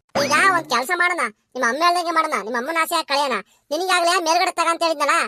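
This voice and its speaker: In a cartoonish character voice, a woman talks at a very fast pace with an extremely high pitch and ordinary pitch variation, in a dry, close sound with no echo. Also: very even loudness. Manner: bossy, confidently off-topic.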